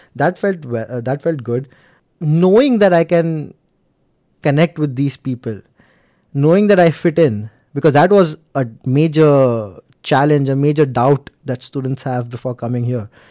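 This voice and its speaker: A man with a Gujarati accent speaks at a fairly slow pace in a fairly high voice with a dark, mellow tone. The sound is dry and close with no echo. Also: ordinary pitch variation. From India, Mumbai. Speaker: IT analyst and former international student. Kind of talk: interview. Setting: studio.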